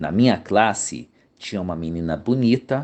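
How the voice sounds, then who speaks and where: A man with an unremarkable speaking voice, fairly low in pitch, at a moderate pace over a quiet background. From Brazil, São Paulo. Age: 60s. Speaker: YouTube commentator, former accounting teacher. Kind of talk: narrated commentary video.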